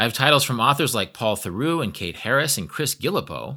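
With an American accent, a man talks at a fairly quick pace in a bright, sharp tone, his pitch swinging very widely and dropping into vocal fry. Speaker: podcast host. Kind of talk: casual interview chat. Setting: remote call.

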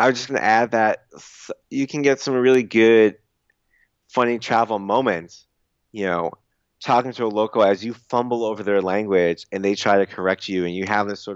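A man talks in an unremarkable speaking voice, pitched fairly low. He keeps a moderate pace with ordinary pitch variation. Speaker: travel writer and blogger. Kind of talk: casual interview chat.

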